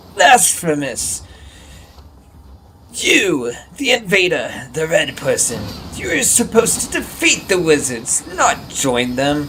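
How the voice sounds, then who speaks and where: Using a put-on character voice, a man talks in a high pitch at a fairly slow pace, with long, frequent pauses. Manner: scary, menacing, indignant.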